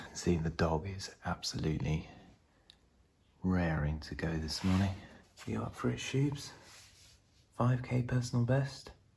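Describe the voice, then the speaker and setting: Speaking at a fairly slow pace with long, frequent pauses, a man uses a very deep, low pitch, a somewhat breathy voice and very wide pitch swings. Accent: British. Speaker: vlogger, amateur runner. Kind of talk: casual vlog.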